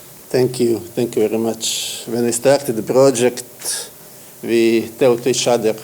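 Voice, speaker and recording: A man's medium-pitched voice, monotone and flat, over noticeable background noise. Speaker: app developer. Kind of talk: acceptance speech; interview. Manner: halting.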